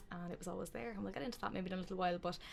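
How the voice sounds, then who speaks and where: The speaker has an Irish accent and ordinary pitch variation. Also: woman. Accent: Meath Irish accent, noticeable. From Ireland, County Meath. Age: 20s. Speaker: podcast co-host, spiritual shop owner. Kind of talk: casual chat.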